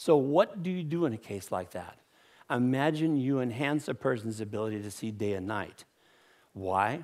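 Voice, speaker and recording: A man with an ordinary speaking voice, a moderate pace and lively intonation, on a very clean recording with a silent background. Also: medium pitch for a man. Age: 60s. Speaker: inventor. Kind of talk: conference talk.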